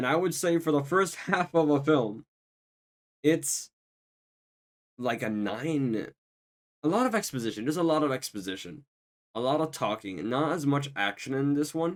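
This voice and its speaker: A quiet man speaks at a moderate pace in a fairly high pitch, his lively intonation broken by long, frequent pauses. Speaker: YouTube film reviewer. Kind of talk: casual talk to camera.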